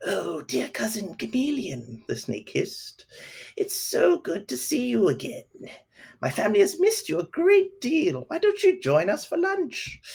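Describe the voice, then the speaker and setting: A man puts on a hissing character voice, pitched extremely high, at a moderate pace. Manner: sly, hissing, falsely friendly.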